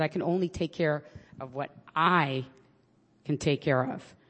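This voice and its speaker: The speaker talks at a very slow pace with a New York accent. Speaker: public defender sharing at an AA meeting. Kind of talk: candid personal recovery share with some profanity. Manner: talkative, tends to go on at length.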